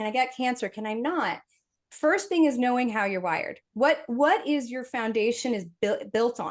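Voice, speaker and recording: The intonation is lively. The background is quiet. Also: woman. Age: 50s. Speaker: functional medicine practitioner. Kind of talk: webinar panel discussion.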